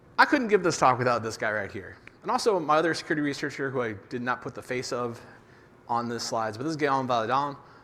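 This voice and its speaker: A man talks at a fairly quick pace with ordinary pitch variation and a bright, sharp tone, and the room echo is audible. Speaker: conference speaker on developer security. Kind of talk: conference talk. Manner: fast.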